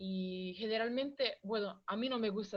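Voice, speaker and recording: With a strong Italian accent, a woman speaks at a fairly slow pace. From Italy, Rome. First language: Italian (speaking Spanish). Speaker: visiting guest speaker. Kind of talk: classroom Q&A. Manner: halting, with fillers and code-switching.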